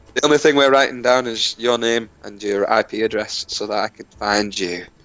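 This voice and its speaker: With a Lancashire accent, a man speaks at a moderate pace and medium pitch, showing ordinary pitch variation and big swings in loudness. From northern England, Lancashire. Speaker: gaming streamer. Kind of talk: casual chat. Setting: voice call.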